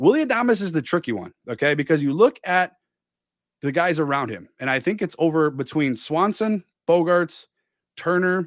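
A man with an American accent and an unremarkable speaking voice talks at a fairly high pitch with lively intonation, on a very clean recording with a silent background. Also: moderate pace. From Milwaukee, Wisconsin. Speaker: sports podcast host, army veteran. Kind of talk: casual chat.

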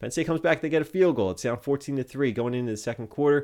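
A man with a fairly high pitch. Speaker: sports podcast host and streamer. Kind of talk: live postgame stream recap and fan chat, with play-by-play style recounting of the game. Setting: live Twitch stream. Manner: conversational, laughing, rueful and easygoing.

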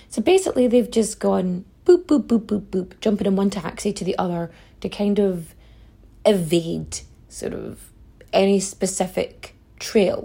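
A woman with a Donegal accent speaks at a fairly slow pace. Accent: Donegal Irish. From Ireland, County Donegal. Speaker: history podcast host. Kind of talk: conversational storytelling. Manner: casual, profane.

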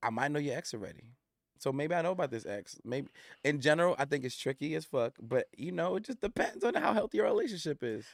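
A man with an American accent at a very fast pace, fairly high-pitched with very wide pitch swings, in a very clean recording with a silent background and a dry, close sound with no echo. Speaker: former therapist turned coach. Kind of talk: casual chat. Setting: studio.

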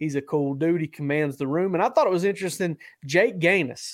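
The speaker has an ordinary speaking voice with ordinary pitch variation. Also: man. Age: 30s. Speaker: sports podcast host, college football writer. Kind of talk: casual sports chat.

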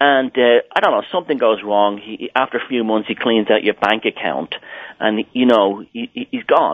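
With an Irish accent, this man talks at a moderate pace at a medium pitch, his pitch varying in an ordinary way. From Southern Ireland. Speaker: author and artist. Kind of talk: interview. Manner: halting.

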